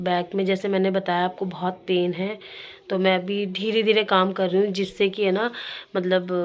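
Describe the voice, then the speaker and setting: At a fairly slow pace, a woman speaks with a medium pitch and monotone, flat intonation. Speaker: vlogger. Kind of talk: casual vlog talk. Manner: casual.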